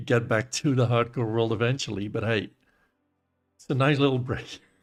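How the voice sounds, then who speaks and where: A man's medium-pitched voice at a moderate pace with monotone, flat intonation, music playing in the background. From Netherlands. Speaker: gaming streamer. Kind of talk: casual live-stream chat.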